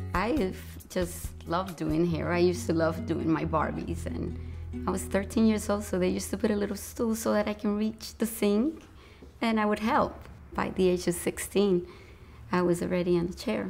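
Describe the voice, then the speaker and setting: Faint music plays in the background while a woman speaks at a moderate pace. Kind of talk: interview answer. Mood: warm, reflective. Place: shop.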